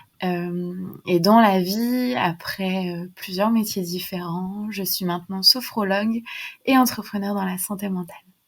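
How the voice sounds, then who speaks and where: Somewhat breathy, a woman speaks at a fairly slow pace in a medium pitch with big swings in loudness. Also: fairly even intonation, very clean recording, silent background. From western France, near Nantes. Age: 20s. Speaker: sophrologist and mental health entrepreneur. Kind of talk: podcast interview.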